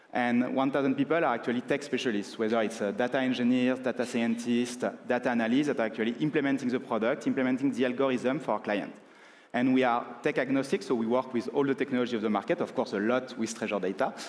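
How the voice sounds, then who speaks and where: At a very fast pace and very even loudness, a man speaks at a medium pitch with fairly even intonation. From France. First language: French. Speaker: consulting firm partner, conference speaker. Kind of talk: conference talk. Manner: filler-heavy with frequent uh.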